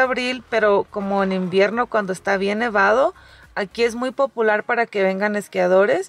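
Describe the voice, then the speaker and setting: A woman at a moderate pace with ordinary pitch variation, in a dry sound with no echo. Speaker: travel vlogger. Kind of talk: casual vlog chat. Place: car. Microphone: phone near.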